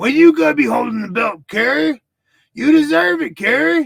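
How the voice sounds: A man puts on a character voice at an extremely high pitch. It moves at a moderate pace with very wide pitch swings.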